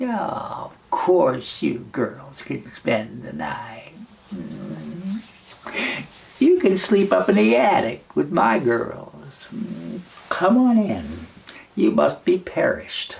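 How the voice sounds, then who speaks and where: In a put-on character voice, a man talks very slowly at a medium pitch. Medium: read story. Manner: sly, falsely sweet.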